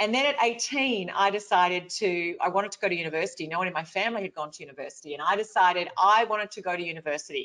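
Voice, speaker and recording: Speaking at a very fast pace with an Australian accent, a woman uses lively intonation and a bright, sharp tone. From rural Victoria, Australia. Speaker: motivational speaker. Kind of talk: webinar talk.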